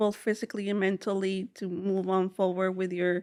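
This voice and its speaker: The background stays quiet. This woman talks with a Spanish accent. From South Texas, Rio Grande Valley (McAllen), Mexican family. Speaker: social work doctoral student, researcher. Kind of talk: interview. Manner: halting, many fillers.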